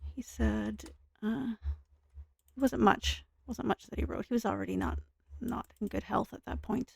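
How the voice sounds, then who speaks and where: A soft-spoken woman talks at a moderate pace with long, frequent pauses, in a dry, close sound with no echo. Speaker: gaming streamer. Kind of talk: casual gameplay commentary.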